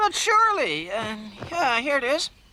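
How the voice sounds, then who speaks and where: This is a cartoonish character voice, pitched high with very wide pitch swings. The pace is moderate. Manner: fussy, proper.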